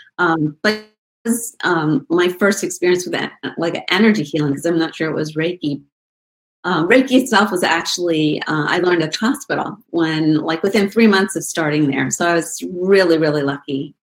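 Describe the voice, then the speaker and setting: With an ordinary speaking voice, a woman talks at a moderate pace in a fairly low pitch, with ordinary pitch variation. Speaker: nurse and Reiki teacher. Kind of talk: casual interview chat. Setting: video call.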